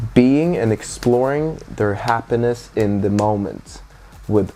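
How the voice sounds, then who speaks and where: A man speaks at a fairly low pitch with ordinary pitch variation while music plays in the background. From Sweden, Stockholm (born in Gothenburg, moved at six). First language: Swedish. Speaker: DJ and party organizer. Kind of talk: casual interview chat.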